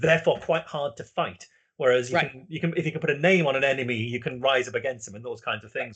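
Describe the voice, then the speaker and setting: A man speaks with a British accent and a fairly high pitch. He talks very fast. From UK. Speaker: talk series host. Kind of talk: interview. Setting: live online talk.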